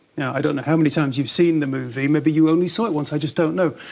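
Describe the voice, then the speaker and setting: A man's fairly high voice comes through over noticeable background noise. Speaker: TV talk show host. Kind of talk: TV interview questions.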